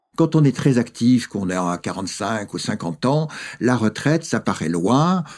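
A man talks at a very slow pace and medium pitch. His voice makes very wide pitch swings. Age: 70s. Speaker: philosopher and author. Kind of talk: interview.

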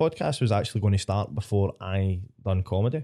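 Somewhat breathy and dark, mellow in tone, a man speaks at a moderate pace against a quiet background. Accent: Scottish. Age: 20s. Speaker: stand-up comedian. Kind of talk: casual chat.

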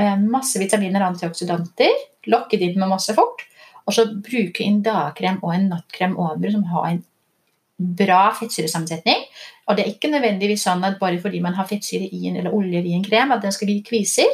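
An animated, somewhat breathy voice with a Danish accent, at a fairly quick pace with ordinary pitch variation. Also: woman, medium pitch for a woman. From Denmark. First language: Danish (speaking Norwegian). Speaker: doctor and skincare entrepreneur. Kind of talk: interview. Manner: halting.

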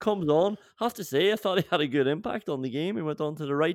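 The man's pitch varies in an ordinary way. The sound is dry and close, with no echo. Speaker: podcast host. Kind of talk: sports commentary. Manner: animated, excitable, energetic play-by-play style.

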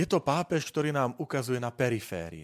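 At a moderate pace, a man with a medium pitch speaks in a very clean recording with a silent background. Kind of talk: monologue podcast talk on church topics.

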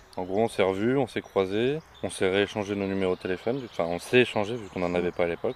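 Against noticeable background noise, a man with a fairly low voice speaks at a very fast pace with ordinary pitch variation. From northern France, Béthune area. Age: 20s. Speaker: eco-project co-founder. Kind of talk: interview.

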